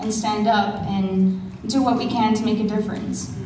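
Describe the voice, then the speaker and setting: A woman with a fairly high pitch speaks at a moderate pace. Noticeable background noise and audible room echo fill the recording. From Navajo Nation, Arizona. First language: Navajo. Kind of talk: conference panel speech. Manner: halting, many fillers.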